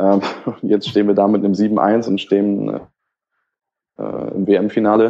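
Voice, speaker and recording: A man's fairly low, dark, mellow voice in a flat monotone, fairly slow, with long, frequent pauses. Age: 20s. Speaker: football blogger. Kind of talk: casual chat. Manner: halting.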